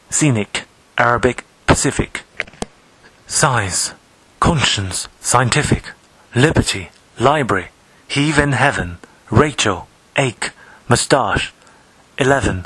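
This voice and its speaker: A man talks at a very slow pace with long, frequent pauses, a medium pitch and lively intonation. His loudness stays very even over noticeable background noise. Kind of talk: poetry reading.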